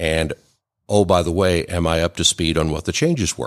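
The man's voice is very deep and low. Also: very clean recording, silent background. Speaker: tax credit specialist. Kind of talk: radio interview. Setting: studio.

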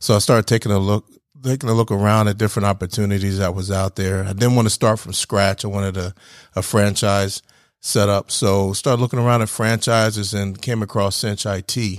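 A man with an American accent talks at a fairly quick pace in a fairly low, monotone voice with flat intonation. The recording is very clean with a silent background, and the sound is dry and close with no echo. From New Jersey, near Philadelphia. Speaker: IT business owner, Marine veteran. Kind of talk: radio interview. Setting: studio.

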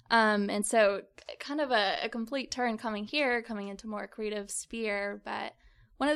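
An ordinary speaking voice from a woman with an American accent, fairly high in pitch with ordinary pitch variation, at a moderate pace, on a very clean recording with a silent background. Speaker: university student entrepreneur. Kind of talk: interview. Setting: studio.

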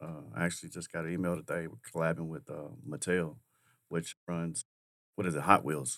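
This man's voice is very deep and low, with fairly even intonation. He speaks at a moderate pace on a very clean recording with a silent background. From Kentucky. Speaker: sauce company owner and restaurateur. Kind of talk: radio interview. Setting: studio.

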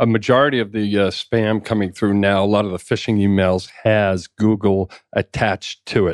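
With a slight Boston accent, a man of fairly low pitch speaks at a moderate pace with fairly even intonation and hardly any pauses, the sound dry and close with no echo. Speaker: insurance agent. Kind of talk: radio interview. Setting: studio.

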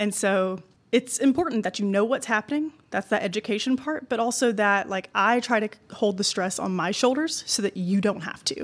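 Noticeable background noise sits behind a woman speaking at a moderate pace. Her pitch is fairly high, with ordinary variation. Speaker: realtor. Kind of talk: casual interview. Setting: live event.

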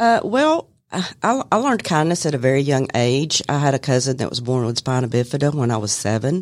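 With a Southern US accent and a very deep, low voice, a woman talks fairly quickly with lively intonation and hardly any pauses on a very clean recording with a silent background. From Bartow County, Georgia. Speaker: office manager. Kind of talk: casual interview. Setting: studio.

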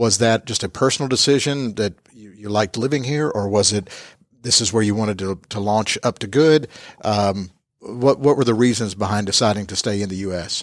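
A man with a Southern US accent talks at a fairly quick pace in a fairly low pitch, with ordinary pitch variation and big swings in loudness. The recording is very clean, with a silent background. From US South (Georgia). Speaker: podcast host. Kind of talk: casual interview. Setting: office space, in person.

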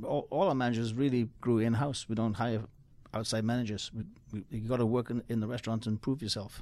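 Speaking at a very fast pace, this man has a medium pitch for a man. His tone is dark and mellow, and his intonation is fairly even. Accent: Geordie. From Newcastle, northeast England. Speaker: chef and restaurant owner. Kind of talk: radio interview. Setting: studio.

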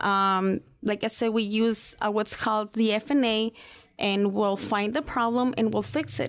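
In a very clean recording with a silent background, a woman with a Spanish accent speaks at a fairly high pitch and a fairly slow pace, keeping fairly even intonation and very even loudness. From Mexico. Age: 30s. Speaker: financial services representative. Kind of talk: radio interview.

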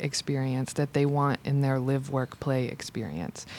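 Her pitch very deep and low, a woman talks with an American accent. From US South, Georgia (Macon). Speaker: arts center coordinator. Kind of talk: radio interview. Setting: radio studio.

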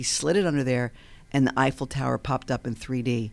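A woman with an American accent speaks in a very deep, low voice. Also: very clean recording, silent background. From Long Island, New York. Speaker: CEO of an educational tech company. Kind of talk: casual radio interview. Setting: studio.

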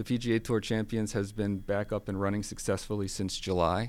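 A man with an American accent and an unremarkable speaking voice talks fairly quickly at a fairly low pitch in a very clean recording with a silent background. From Baltimore, Maryland. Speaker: golf tournament director. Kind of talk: radio interview. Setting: radio studio.

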